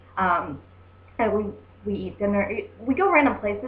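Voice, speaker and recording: Animated in tone, a woman with an American accent talks at a fairly quick pace amid audible room echo. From US Midwest, Southern Indiana. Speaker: travel vlogger. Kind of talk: casual vlog monologue. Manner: animated, many fillers.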